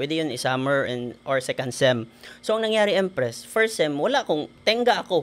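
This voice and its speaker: A man's voice at a moderate pace with very wide pitch swings. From Philippines, Negros Occidental (Himamaylan City); Negros Occidental, Philippines. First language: Hiligaynon (speaking Tagalog). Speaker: engineer and network marketer; podcast guest. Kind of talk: interview. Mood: cheerful, grateful. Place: studio. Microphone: studio mic.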